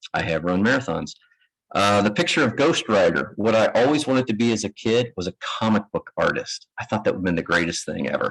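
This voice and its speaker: Very fast speech comes from a man with a Kentucky accent. His pitch is fairly low. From US South, Kentucky. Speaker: managing director of construction firm, architect. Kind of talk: conference presentation. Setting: lecture room with live audience. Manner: casual, self-deprecating with hesitations.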